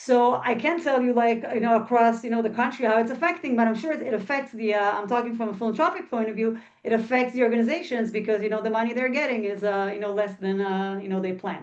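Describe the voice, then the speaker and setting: Speaking very fast with hardly any pauses, a woman uses a fairly high pitch with ordinary pitch variation. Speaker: philanthropy professional in Israel. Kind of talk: webinar panel answer.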